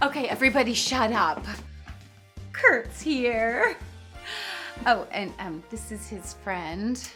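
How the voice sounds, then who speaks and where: Over music in the background, a woman talks at a very slow pace with long, frequent pauses and big swings in loudness. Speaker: tipsy hostess and mother.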